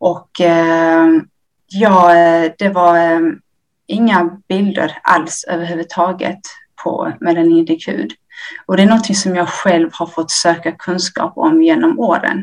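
Here a woman speaks at a very slow pace. Her pitch is fairly low. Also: ordinary pitch variation. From Ethiopia. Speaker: nurse. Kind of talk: interview. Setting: remote link.

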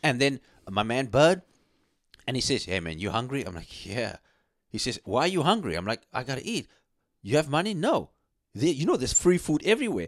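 Vocal fry colors a man's medium-pitched voice, with very wide pitch swings at a fairly quick pace. He takes long, frequent pauses, and the recording is very clean with a silent background. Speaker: radio host. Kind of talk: casual chat. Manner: animated.

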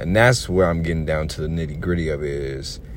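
Audible room echo and noticeable background noise surround a man speaking with ordinary pitch variation. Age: 20s. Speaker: podcaster and bus driver. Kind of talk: solo podcast monologue. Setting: in a car.

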